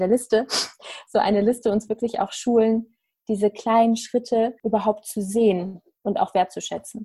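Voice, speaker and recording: A woman's somewhat breathy voice with a dark, mellow tone, fairly high in pitch, at a moderate pace with fairly even intonation. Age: 30s. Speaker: life coach. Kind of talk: casual interview chat.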